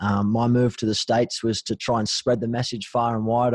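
With an Australian accent, the speaker talks at a fairly quick pace in a monotone, flat intonation, the sound dry and close with no echo against a quiet background. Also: man. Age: 30s. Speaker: mental health charity co-founder. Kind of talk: casual interview.

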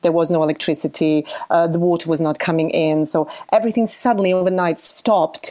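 Over noticeable background noise, a woman with a Bosnian accent speaks at a very fast pace, her fairly low pitch showing ordinary variation. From Bosnia, Sarajevo. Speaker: musician. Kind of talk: testimony.

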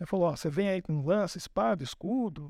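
A man speaks in a high-pitched voice. His intonation is lively. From Brazil, São Paulo. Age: 50s. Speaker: pastor. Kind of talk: sermon. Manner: informal, joking.

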